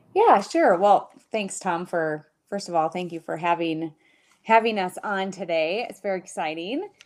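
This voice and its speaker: In a normal speaking voice with an American accent, a woman speaks at a moderate pace with big swings in loudness. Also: medium pitch for a woman, fairly even intonation. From Minnesota. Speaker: family lawyer. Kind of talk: casual interview.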